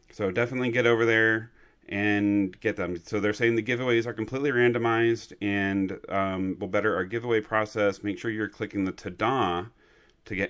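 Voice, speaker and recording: A man's ordinary speaking voice, fairly low in pitch, with fairly even intonation and a moderate pace, on a very clean recording with a silent background. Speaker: trading card game shop owner, video host. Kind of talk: casual news update video.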